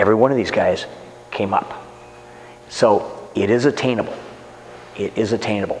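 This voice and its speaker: Noticeable background noise under fairly quick talking. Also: man. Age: 60s. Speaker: martial arts instructor. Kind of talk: interview.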